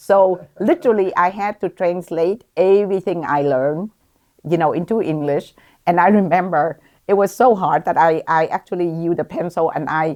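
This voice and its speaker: A woman with a Vietnamese accent speaks at a fairly low pitch with ordinary pitch variation. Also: moderate pace, quiet background. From Vietnam, then Columbus, Ohio from age 14. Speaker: physician, OB-GYN. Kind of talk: interview. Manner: hesitant, many fillers.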